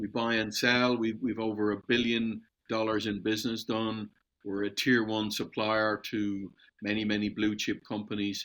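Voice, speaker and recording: Speaking at a moderate pace with an Irish accent, a man's fairly low voice stays monotone and flat on a very clean recording with a silent background. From Ireland. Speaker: metals supplier and entrepreneur. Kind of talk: podcast interview.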